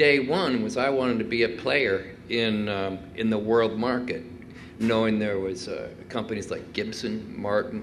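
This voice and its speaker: A man at a very slow pace with audible room echo. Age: 60s. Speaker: guitar maker. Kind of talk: talk with audience Q&A. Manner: hesitant, many fillers.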